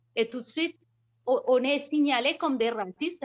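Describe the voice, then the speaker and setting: Nothing stirs in the quiet background. A woman talks there in a high voice. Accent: non-native. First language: not French (speaking French). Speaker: participant in a feminist association discussion. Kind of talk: video conference discussion. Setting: video call.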